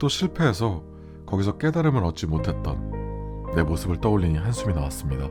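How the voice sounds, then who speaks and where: Over music in the background, a man with a very deep, low pitch and a soothing, calm tone speaks with very wide pitch swings. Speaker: radio-style host / voice actor narrator. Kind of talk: late-night radio monologue, personal reflective talk. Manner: soothing, soft, calm, sleep-aid tone.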